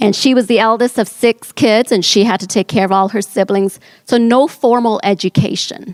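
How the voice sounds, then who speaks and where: Dry and close with no echo, the recording holds a woman's unremarkable speaking voice at a fairly high pitch. She speaks at a moderate pace with very even loudness and fairly even intonation. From New Orleans, US South. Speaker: entrepreneur. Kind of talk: personal story talk.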